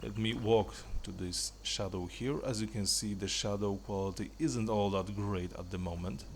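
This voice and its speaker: Over audible room echo, a man with vocal fry talks at a moderate pace in a fairly low pitch with ordinary pitch variation. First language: not English. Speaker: gaming video creator. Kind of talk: tutorial. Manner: casual, slightly halting.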